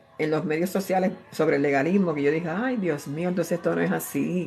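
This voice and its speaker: A woman's ordinary pitch variation comes at a fairly quick speed, with noticeable noise in the background. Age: 60s. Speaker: preacher. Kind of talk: sermon. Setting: at home, live stream. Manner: animated.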